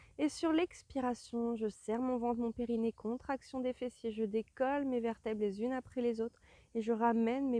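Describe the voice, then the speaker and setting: This woman has an unremarkable speaking voice, pitched fairly high and delivered at a moderate pace. The sound is dry and close, with no echo. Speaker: Pilates instructor. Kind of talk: guided exercise class.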